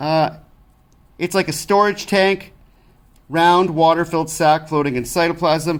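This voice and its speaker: Here a man speaks with a high pitch and fairly even intonation. He leaves long, frequent pauses. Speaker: science teacher. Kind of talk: tutorial. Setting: recorded lesson video with document camera. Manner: fast.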